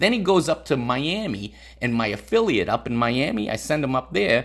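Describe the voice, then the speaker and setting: Here is a man in a normal speaking voice. He talks at a moderate pace with lively intonation. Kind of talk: stand-up comedy storytelling.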